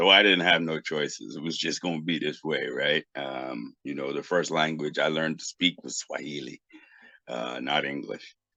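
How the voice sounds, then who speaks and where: The man's voice is very deep and low, bright and sharp in tone, with vocal fry, at a moderate pace. The sound is dry and close, with no echo. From US Northeast, Boston. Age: 50s. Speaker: technology professional and Pan-Africanist thinker. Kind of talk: interview. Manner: halting, many fillers.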